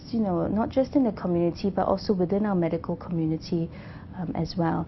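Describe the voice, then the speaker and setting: Very fast, somewhat breathy speech from a woman at a fairly low pitch. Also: ordinary pitch variation. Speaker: cancer doctor. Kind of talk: interview answer.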